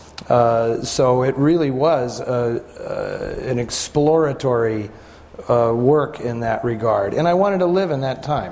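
Noticeable background noise sits under this man's voice. He speaks at a fairly slow pace and medium pitch. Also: ordinary pitch variation. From San Francisco. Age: 50s. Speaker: author and film historian. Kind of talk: panel discussion.

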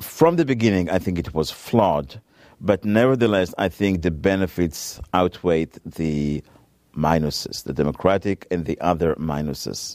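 A man with an Israeli accent speaks in a very deep, low pitch. His pace is moderate and his pitch variation ordinary. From Israel, Tel Aviv area. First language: Hebrew. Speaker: author and nuclear policy researcher. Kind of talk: interview.

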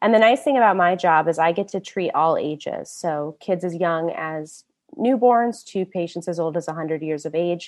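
Over a quiet background, a woman with an American accent speaks at a fairly low pitch and a moderate pace, with ordinary pitch variation and hardly any pauses. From US Midwest, Indianapolis. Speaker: hand surgeon. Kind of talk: public lecture.

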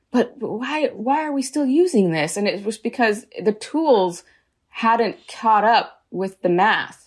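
In an American accent, a woman talks at a very slow pace with a fairly high pitch. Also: lively intonation. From San Diego, California. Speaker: podcast host. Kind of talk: interview.

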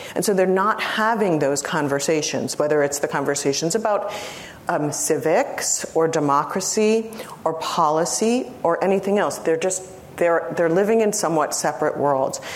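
A woman speaks at a moderate pace in a fairly low pitch. Her loudness is very even, and there is noticeable background noise. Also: ordinary pitch variation. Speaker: lecturer. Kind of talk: academic lecture response. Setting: lecture hall with audience.

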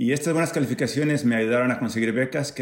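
A man talks very fast in a medium pitch. His pitch moves in an ordinary way. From Mexico, Acapulco (Guerrero). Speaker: physics professor. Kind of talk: scripted narration.

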